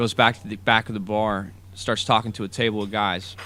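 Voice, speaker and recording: A man with an American accent talks at a fairly low pitch over noticeable background noise. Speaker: student storyteller. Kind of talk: personal story narration.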